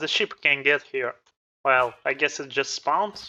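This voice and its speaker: Speech comes at a very slow pace. A non-native accent is heard. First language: not English. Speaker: gaming youtuber. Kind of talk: gameplay commentary. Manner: halting.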